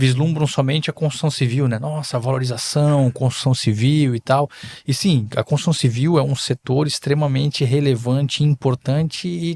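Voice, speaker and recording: A man speaks at a moderate pace with a fairly high pitch. His voice is somewhat breathy and the sound is dry and close with no echo. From southern Brazil, Balneário Camboriú (Santa Catarina). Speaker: politician and investor. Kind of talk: podcast interview. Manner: halting, with filler hesitations.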